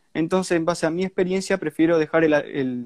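At a very fast pace, a man with an Argentine accent talks at a fairly high pitch with fairly even intonation, the sound dry and close with no echo. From Argentina, Santa Fe. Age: young. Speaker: ant keeper. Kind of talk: casual chat.

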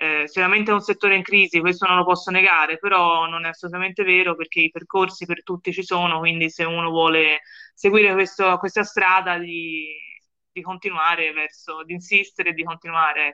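Speaking fairly quickly with a Florentine accent, a woman delivers a monotone, flat line in a fairly low, bright, sharp voice. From Florence, Italy. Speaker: journalist. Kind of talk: interview. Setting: remote call.

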